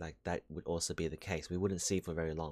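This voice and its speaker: Very deep and low, a man's voice moves at a fairly quick pace with fairly even intonation on a very clean recording with a silent background. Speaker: solo podcaster. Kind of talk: casual monologue. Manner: hesitant, with many fillers.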